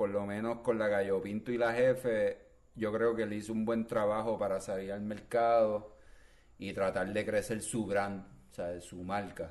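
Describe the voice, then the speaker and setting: This is a normal speaking voice. The pace is fairly slow. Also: man. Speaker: podcast co-host. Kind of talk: casual chat.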